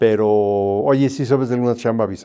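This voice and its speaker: Speaking at a moderate pace, a man shows a dark, mellow tone and ordinary pitch variation. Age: 60s. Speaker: airline pilot. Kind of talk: interview. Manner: hesitant, with fillers.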